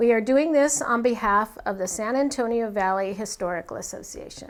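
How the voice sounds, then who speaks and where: An unremarkable speaking voice moves at a fairly quick pace with ordinary pitch variation. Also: woman, fairly high pitch for a woman. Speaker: oral history interviewer. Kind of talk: interview questions.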